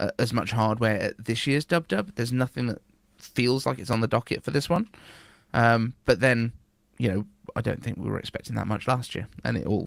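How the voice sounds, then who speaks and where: Speaking at a fairly quick pace with a British accent, a man at medium pitch sounds dry and close with no echo. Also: ordinary pitch variation. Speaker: podcast host. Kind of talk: casual podcast conversation.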